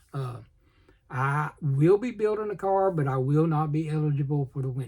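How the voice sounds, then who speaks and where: A man's mumbling voice with a Southern US accent, fairly high in pitch with ordinary variation, dark, mellow and somewhat breathy. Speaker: model car hobbyist YouTuber. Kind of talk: casual vlog. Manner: fast.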